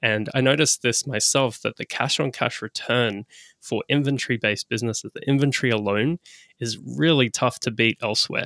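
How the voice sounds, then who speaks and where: With an Australian accent, a man talks at a fairly quick pace in a bright, sharp tone, recorded very cleanly against a silent background with a dry, close sound and no echo. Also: medium pitch for a man, ordinary pitch variation. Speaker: e-commerce business broker. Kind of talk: podcast interview.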